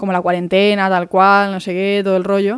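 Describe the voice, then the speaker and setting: Her speech moves at a fairly quick pace. The woman's pitch is medium. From Málaga, Andalusia, Spain. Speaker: podcast host. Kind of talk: casual monologue. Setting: home.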